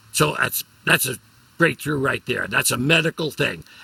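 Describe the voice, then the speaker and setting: A man speaks in a New York accent with a bright, sharp tone. The sound is dry and close, with no echo. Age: 80s+. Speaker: comedian. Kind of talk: casual chat.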